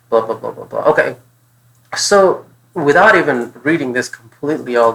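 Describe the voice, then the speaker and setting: Speaking at a fairly quick pace, a man talks with a non-native accent. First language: not English. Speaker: test prep tutor. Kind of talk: tutorial. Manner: thinking aloud, casual.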